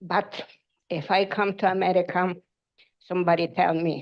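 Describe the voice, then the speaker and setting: Speaking at a fairly slow pace with a non-native accent, a woman keeps a fairly low pitch and a fairly even intonation. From Ukraine. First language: Ukrainian. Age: old. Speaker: public commenter. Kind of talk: public comment at council meeting. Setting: city council meeting.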